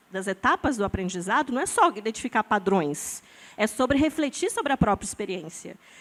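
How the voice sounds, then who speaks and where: The pitch swings very widely. The sound is dry and close, with no echo. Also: woman. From Brazil, born in Amazonas, lived in many regions, settled in São Paulo. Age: 40s. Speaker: scientist and biohacker artist, panelist. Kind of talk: panel discussion. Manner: animated, casual with fillers and repetitions.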